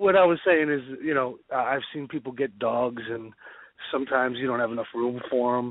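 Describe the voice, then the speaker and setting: Speaking with a New Jersey accent, a man of medium pitch talks at a fairly quick pace with ordinary pitch variation. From New Jersey, Bergen County. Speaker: war veteran. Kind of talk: casual chat.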